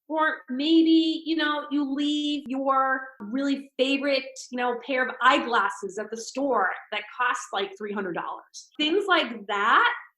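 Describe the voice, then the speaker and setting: This woman's voice is raised and projected, high in pitch with a bright, sharp tone. Her intonation is lively. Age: 60s. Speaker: spiritual speaker. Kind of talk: podcast interview.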